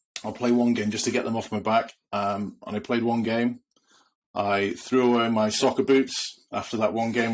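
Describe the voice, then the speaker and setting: On a very clean recording with a silent background, a man speaks with a Welsh accent at a fairly quick pace. His medium-pitched voice stays monotone and flat. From Wales. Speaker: retired rugby player, podcast co-host. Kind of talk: casual chat. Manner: hesitant, many fillers.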